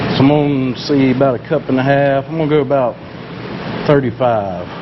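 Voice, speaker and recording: Noticeable background noise runs under a man speaking with a Southern US accent. His voice is fairly high, his pace fairly quick and his intonation fairly even. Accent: Southern country. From US South, South Mississippi. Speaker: fishing lure maker, video creator. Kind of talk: tutorial. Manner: casual, conversational.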